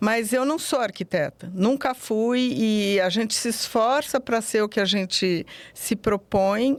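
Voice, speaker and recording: A woman talks fairly slowly in a fairly high voice with ordinary pitch variation. The recording is very clean, with a silent background. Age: 60s. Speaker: psychologist. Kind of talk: interview. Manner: halting.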